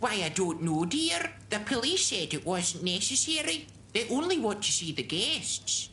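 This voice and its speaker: Using a cartoonish character voice, a woman swings very widely around a medium pitch at a moderate pace, with clear background noise. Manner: fussy, calls everyone dear.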